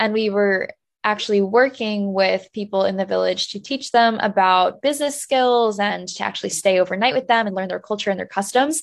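With a New Jersey accent, a woman speaks at a fairly quick pace with ordinary pitch variation. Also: medium pitch for a woman, quiet background. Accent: American, New Jersey. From US, New Jersey. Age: 20s. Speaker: travel content creator and author. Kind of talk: interview.

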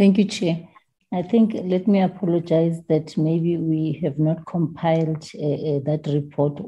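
Speaking at a fairly slow pace, a woman with a very deep, low pitch sounds somewhat breathy and keeps her intonation fairly even. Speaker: committee member, MP. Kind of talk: formal parliamentary committee meeting.

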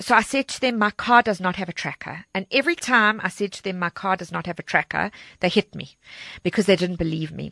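Bright, sharp tone from a woman at medium pitch, fairly quick, ordinary pitch variation, dry and close with no echo over a quiet background. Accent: South African. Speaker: charity organizer and crime survivor. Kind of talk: personal testimony. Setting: studio.

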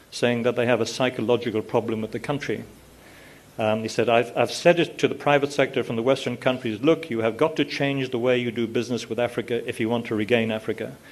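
Talking at a very fast pace, a man with an Irish accent keeps a medium pitch and fairly even intonation. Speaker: retired newspaper executive and author. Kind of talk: panel discussion.

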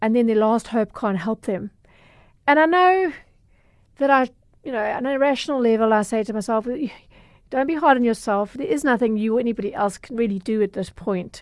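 With a Durban accent, the speaker moves at a fairly quick pace with ordinary pitch variation and long, frequent pauses. The background is quiet. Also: woman. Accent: South African, Durban. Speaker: consumer journalist. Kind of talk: casual interview.

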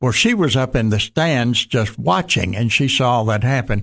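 Over a quiet background, a man with a Southern US accent speaks at a fairly slow pace and a medium pitch. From US South, western Tennessee. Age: 80s+. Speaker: pastor. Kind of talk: casual chat. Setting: studio.

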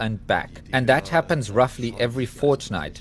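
A man with a German accent. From East Germany. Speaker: scientist. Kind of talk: interview.

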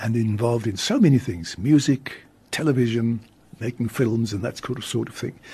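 A man talks at a fairly quick pace with a South African accent. His voice is somewhat breathy. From South Africa, Cape Town. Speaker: radio host and priest. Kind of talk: radio interview. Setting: radio studio.

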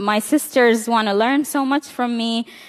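With a Balochistan accent, a woman talks at a high pitch with ordinary pitch variation in a dry, close sound with no echo. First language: Brahvi. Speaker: women's rights activist. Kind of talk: conference talk. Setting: stage with audience.

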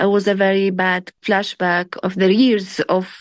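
A woman speaks with an Arabic accent at a medium pitch, in a flat monotone. The sound is dry and close with no echo, over a quiet background. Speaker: human rights activist. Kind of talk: interview.

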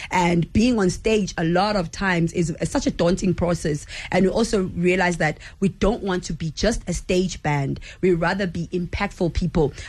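The voice is somewhat breathy and keeps a moderate pace. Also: woman, fairly low pitch for a woman, ordinary pitch variation. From South Africa, Durban. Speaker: lead vocalist of a band. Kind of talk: radio interview. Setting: radio studio.

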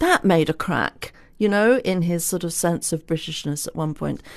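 A woman with an English accent, a fairly low pitch, and ordinary pitch variation, at a moderate pace over a quiet background. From England. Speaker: author and historian. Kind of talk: interview.

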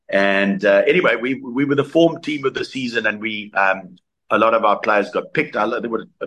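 A man with a South African accent, speaking at a fairly quick pace. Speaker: former rugby player. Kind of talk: interview. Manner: halting.

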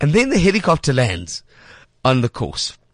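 A man with vocal fry talks at a moderate pace, his pitch swinging very widely. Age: 30s. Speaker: radio host. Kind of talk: casual chat. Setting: studio.

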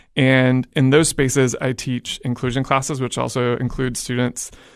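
A man at a medium pitch, monotone and flat, at a moderate pace over a quiet background. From Oklahoma (Edmond, near Oklahoma City). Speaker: high school teacher. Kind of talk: interview.

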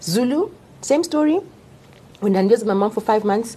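A woman speaks with lively intonation and a somewhat breathy, dark, mellow tone. Her pitch sits fairly high. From Zimbabwe, Harare. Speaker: doctor. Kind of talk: casual chat.

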